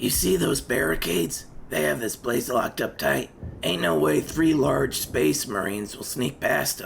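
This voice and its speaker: A man uses a put-on character voice, raspy and very deep, with very wide pitch swings. He speaks at a moderate pace over clear background noise. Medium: machinima. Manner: blunt, casual.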